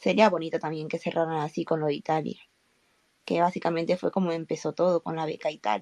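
The woman talks at a very fast pace in a fairly low pitch with ordinary variation. Her tone is dark and mellow, and the sound is dry and close with no echo. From Spain. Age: 20s. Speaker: fan, engineering graduate. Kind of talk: casual group chat.

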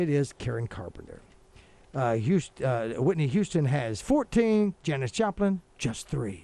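A man's fairly high voice with a dark, mellow tone, very wide pitch swings and a fairly slow pace. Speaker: radio co-host. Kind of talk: casual chat. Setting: studio. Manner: animated.

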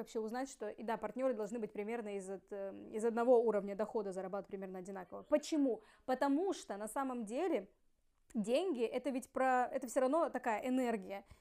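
A woman's high, dark, mellow voice at a very fast pace, with big swings in loudness. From Russian Far East, Ussuriysk. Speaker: podcast co-host. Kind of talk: casual chat.

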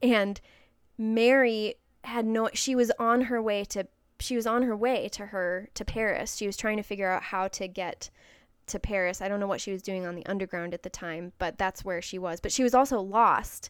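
In a northern US accent, a woman speaks at a moderate pace in a medium pitch with fairly even intonation. The recording is very clean, with a silent background. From Wisconsin, US Midwest. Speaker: podcast host.

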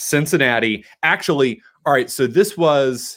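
A man with an American accent speaks in vocal fry, on a very clean recording with a silent background. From Boston area, South Shore. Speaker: sports radio host. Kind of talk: casual chat.

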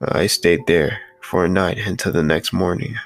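The speaker uses a panicked, dramatic tone at a moderate pace. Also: man. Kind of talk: scary story narration. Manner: tense, urgent, hushed-to-panicked delivery; dramatic, breathless pacing.

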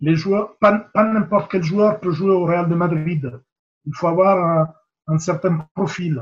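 A man speaks in a high voice for a man, at a very slow pace. His pitch rises and falls in an ordinary way. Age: 50s. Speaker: rugby coach and mental coach. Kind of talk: interview. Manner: hesitant, with fillers and repetitions.

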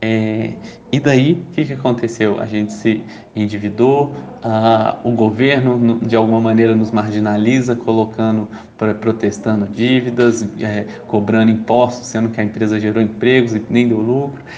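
A man with a medium pitch speaks at a fairly slow pace with fairly even intonation. Audible room echo and noticeable background noise come through. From Brazil, Belo Horizonte (Minas Gerais). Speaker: startup entrepreneur and social activist. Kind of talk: interview. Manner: hesitant, many fillers.

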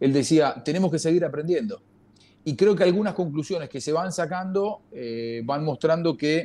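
A man's high-pitched voice with a dark, mellow tone, a Rioplatense accent, ordinary pitch variation and a moderate pace. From Argentina. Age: 50s. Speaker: football commentator. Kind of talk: casual chat.

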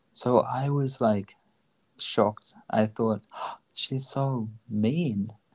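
A man at a very slow pace with fairly even intonation. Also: medium pitch for a man. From Australia. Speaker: podcast host, language learning. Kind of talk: casual bilingual conversation.

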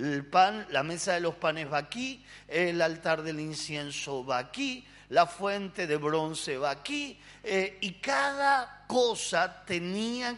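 In a Rioplatense accent, a man talks at a very slow pace. His pitch is high, with very wide swings. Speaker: pastor. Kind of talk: sermon.

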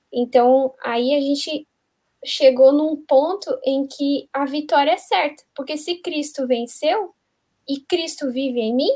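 At a very slow pace, a woman speaks with a high pitch, a dark, mellow tone and ordinary pitch variation. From southern Brazil. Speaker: youth Bible study guest. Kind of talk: Bible study discussion.

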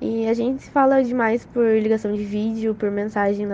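The woman's voice has a dark, mellow tone. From Brazil, Cuiabá. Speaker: exchange student. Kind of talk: interview testimony.

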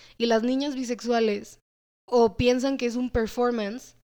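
A woman has a dark, mellow tone. The recording is very clean, with a silent background. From Mexico, with US-based family. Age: 20s. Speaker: architecture student. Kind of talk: casual chat.

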